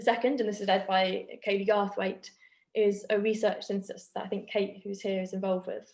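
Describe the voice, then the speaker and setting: Her delivery is fairly quick, and this woman keeps a monotone, flat intonation. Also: medium pitch for a woman. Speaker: academic researcher. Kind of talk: academic seminar presentation.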